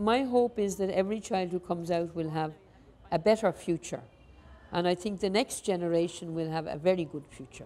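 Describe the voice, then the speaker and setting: With an Irish accent, a woman speaks fairly quickly in a fairly low pitch, her tone dark and mellow and her pitch varying in an ordinary way. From Ireland. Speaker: nun and school principal. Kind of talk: interview. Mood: warm, animated, reflective. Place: classroom. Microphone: lapel.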